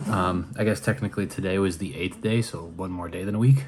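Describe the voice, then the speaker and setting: This man's voice sits fairly low. It is somewhat breathy. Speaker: vlogger. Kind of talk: casual vlog talk. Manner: chatty, many fillers.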